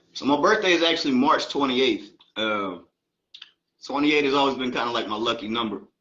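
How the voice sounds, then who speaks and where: A man with an American accent talks at a very fast pace and medium pitch, with lively intonation. Long, frequent pauses break up his speech, and room echo is audible. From Baltimore, Maryland, then Atlanta from age 14. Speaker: rapper. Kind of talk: interview.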